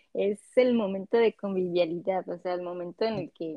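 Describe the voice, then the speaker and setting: A woman talks at a moderate pace with a Mexican accent. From Mexico, Cancún. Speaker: immigrant guest. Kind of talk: casual interview chat.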